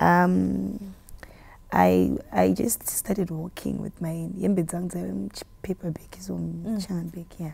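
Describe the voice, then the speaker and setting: A woman with a Zimbabwean accent, speaking at a fairly slow pace. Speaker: gospel musician. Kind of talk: interview answer.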